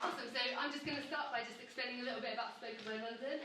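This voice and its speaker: A woman rattles off words at a very fast pace, her pitch varying in an ordinary way, while noticeable background noise sits behind her. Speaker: event host. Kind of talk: event hosting intro. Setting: theatre venue.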